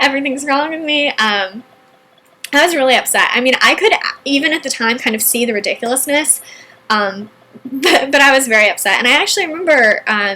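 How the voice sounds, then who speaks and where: Over noticeable background noise, a woman raises and projects her high voice, talking at a fairly quick pace with lively intonation. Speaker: entrepreneur and online marketing video host. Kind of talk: personal story monologue.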